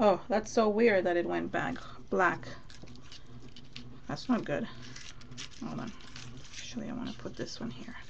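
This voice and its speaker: A woman at a medium pitch with vocal fry, very wide pitch swings and big swings in loudness, at a moderate pace with long, frequent pauses and audible room echo. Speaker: mixed media crafter. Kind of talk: live craft tutorial. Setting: live stream. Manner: mumbling to herself at times.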